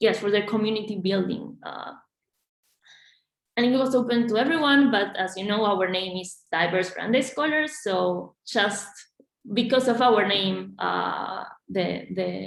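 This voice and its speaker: Audible room echo surrounds a woman speaking at medium pitch and a fairly slow pace in a Spanish accent. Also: ordinary pitch variation. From Argentina. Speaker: graduate student organization leader. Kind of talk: panel discussion. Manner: halting, many fillers and repetitions.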